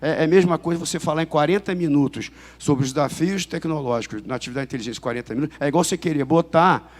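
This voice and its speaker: Very fast speech from a man, fairly high in pitch, with ordinary pitch variation. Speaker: police chief and intelligence official. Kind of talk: conference talk. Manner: halting with many fillers and repetitions.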